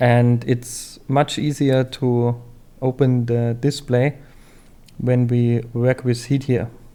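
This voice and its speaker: A man's medium-pitched, dark and mellow voice with a non-native accent, very slow and monotone, flat in intonation, at very even loudness. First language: not English. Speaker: phone repair tutorial maker. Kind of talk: tutorial. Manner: hesitant, many fillers.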